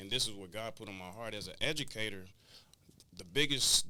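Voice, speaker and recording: Audible room echo surrounds a man whose fairly low voice has a bright, sharp tone. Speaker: clothing brand founder and educator. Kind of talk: interview.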